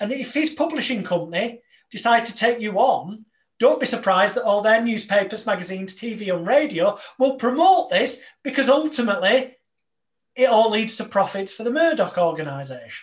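Speaking at a moderate pace with an English accent, a man uses an extremely high pitch and lively intonation. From England. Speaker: hypnotist. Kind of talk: casual chat.

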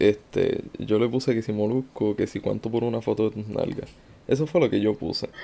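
Here a man with a dark, mellow tone speaks at a moderate pace with ordinary pitch variation. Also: medium pitch for a man. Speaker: meme page creator. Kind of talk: interview. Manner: laid-back.

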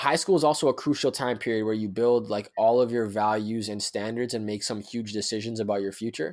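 In a plain, everyday voice, a man speaks at medium pitch and a fairly quick pace on a very clean recording with a silent background. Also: ordinary pitch variation, hardly any pauses. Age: 20s. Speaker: professional youth speaker. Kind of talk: casual interview conversation.

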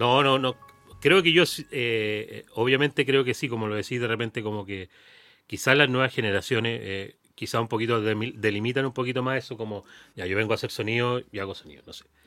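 A man of medium pitch speaks fairly quickly in a bright, sharp tone, his loudness swinging widely. The recording is very clean and the background silent. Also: ordinary pitch variation. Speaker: music industry professional. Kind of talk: casual chat. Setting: studio. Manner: halting.

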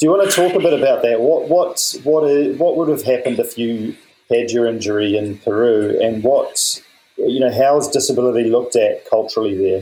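The speaker has a New Zealand accent and moves at a fairly quick pace. The loudness stays very even. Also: man. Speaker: podcast host. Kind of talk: interview.

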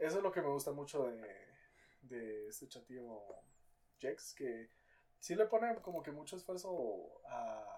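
A fairly slow pace with a Guatemalan accent. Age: 20s. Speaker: content creator. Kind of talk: casual chat.

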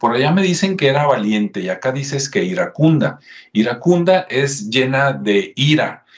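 A somewhat breathy man's voice, fairly high in pitch, with lively intonation at a moderate pace. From Mexico, Jalisco (Guadalajara). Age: 50s. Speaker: history YouTuber. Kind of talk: casual history talk with screen share. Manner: conversational.

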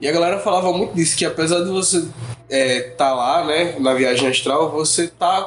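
Ordinary pitch variation at a moderate pace, with noticeable background noise present. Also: man. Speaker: podcast guest. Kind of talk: casual chat.

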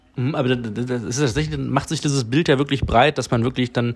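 Vocal fry in a man's voice at medium pitch, with ordinary pitch variation. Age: 40s. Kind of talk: casual chat.

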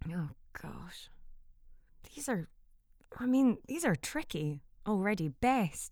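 With a Scottish accent and a medium pitch, a woman speaks at a very slow pace, her pitch swinging very widely between long, frequent pauses. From Scotland. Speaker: voiceover artist and actor. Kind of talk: casual chat.

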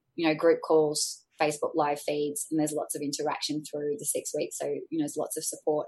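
A woman is speaking. She has an Australian accent. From Australia, Sydney. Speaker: life coach and former fitness trainer. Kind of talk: interview conversation.

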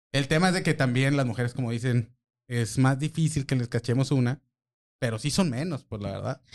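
A man talks at a fairly quick pace with an unremarkable speaking voice. His medium pitch has ordinary variation, and the background is quiet. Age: 40s. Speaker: social media marketer. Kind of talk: casual chat.

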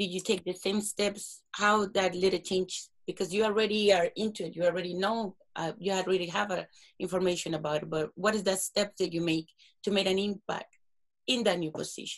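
A woman with a Latin American accent speaks at a fairly quick pace in a flat, monotone delivery at a medium pitch. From South America. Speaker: podcast host. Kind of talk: interview. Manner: nervous.

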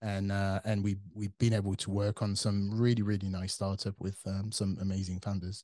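Over a quiet background, a man with a French accent and a fairly low pitch speaks at a moderate pace with hardly any pauses, his dark, mellow tone flat and monotone. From France. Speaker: tech company CTO. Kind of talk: interview.

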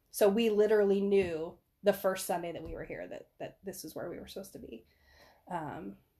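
This woman has an ordinary speaking voice at a medium pitch. She talks at a fairly quick pace with fairly even intonation. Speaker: podcast guest and church member. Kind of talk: casual chat.

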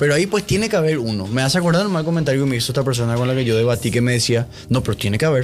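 Speaking at a very fast pace, a man uses lively intonation and a medium pitch. His loudness stays very even. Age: 20s. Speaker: podcast guest discussing films and philosophy. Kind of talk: casual chat.

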